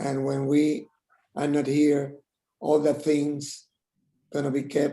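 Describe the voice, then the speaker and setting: A man speaks very slowly in a Spanish accent. His voice is fairly high-pitched, with a dark, mellow tone. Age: 70s. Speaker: tribute speaker. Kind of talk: tribute speech. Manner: halting.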